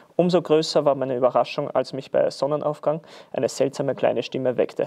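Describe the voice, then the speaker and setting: An Austrian accent at a moderate pace over a quiet background. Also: man. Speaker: football player. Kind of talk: read story. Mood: calm festive storytelling. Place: studio.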